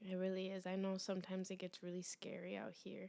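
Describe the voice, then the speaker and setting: A woman speaks with an American accent. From Indiana, US Midwest countryside. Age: 20s. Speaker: professional dancer and choreographer. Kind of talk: casual interview chat.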